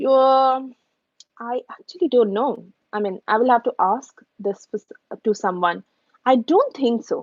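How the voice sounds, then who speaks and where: Speaking with an Indian accent, a woman uses lively intonation at a high pitch, leaving long, frequent pauses. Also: fairly slow pace. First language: Hindi. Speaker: YouTuber answering viewer questions. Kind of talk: live stream Q&A. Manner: casual, with many fillers and restarts.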